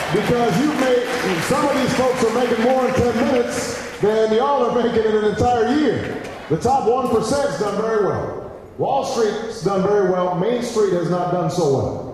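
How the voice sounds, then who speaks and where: Strong room echo and light background noise surround the voice. It moves at a moderate pace with ordinary pitch variation and an American accent. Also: man, extremely high pitch for a man. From United States. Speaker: politician. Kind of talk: campaign speech. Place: hall.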